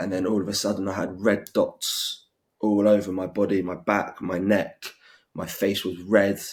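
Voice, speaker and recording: In a British accent, a man speaks at a moderate pace with a fairly low pitch and monotone, flat intonation, on a very clean recording with a silent background. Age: 20s. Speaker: interviewee with severe food allergies. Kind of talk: interview testimony. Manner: halting.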